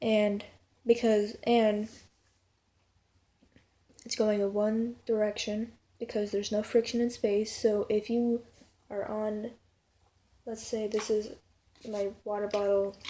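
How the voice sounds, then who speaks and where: Very slow and monotone, a woman speaks with flat intonation and long, frequent pauses. Her voice is fairly high-pitched, with a dark, mellow tone. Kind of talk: casual talk to camera.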